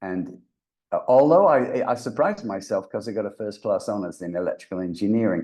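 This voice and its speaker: With a dark, mellow tone, a man talks at a fairly quick pace using very wide pitch swings. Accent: mild English. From England. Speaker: voice actor and brain reprogramming coach. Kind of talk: podcast interview.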